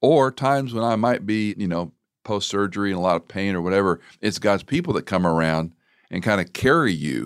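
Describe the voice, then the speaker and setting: This is an unremarkable speaking voice, a man's, pitched fairly low. He talks at a fairly quick pace with lively intonation. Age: 60s. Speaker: radio host. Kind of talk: interview conversation.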